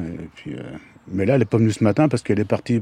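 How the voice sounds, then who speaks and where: Heard in a dry, close sound with no echo, a man speaks at a medium pitch with a dark, mellow tone. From Brittany, France (Dinan area). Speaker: unemployed volunteer, former pig farm worker. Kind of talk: field interview.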